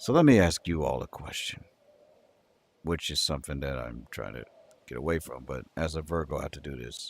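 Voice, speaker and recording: A man's very deep, low voice with vocal fry and a sad tone, fairly quick in pace, broken by long, frequent pauses. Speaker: livestreamer. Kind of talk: casual livestream chat reading comments. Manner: sounds sad, flat delivery.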